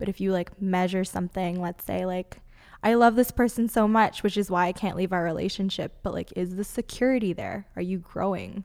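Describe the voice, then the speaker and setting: Here is an ordinary speaking voice from a woman at a medium pitch. She moves at a fairly quick pace with fairly even intonation. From Canada, Toronto. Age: 20s. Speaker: healer and teacher. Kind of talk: casual chat.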